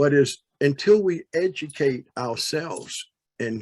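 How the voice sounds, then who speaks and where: Lively intonation marks this man's delivery. He uses an ordinary speaking voice. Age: 60s. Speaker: audience participant in panel discussion. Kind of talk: panel discussion comment.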